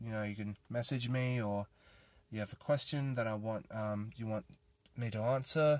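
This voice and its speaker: A man's medium-pitched voice with an Australian accent, a fairly slow pace and ordinary pitch variation, over a quiet background. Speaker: podcast host. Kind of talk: casual solo monologue.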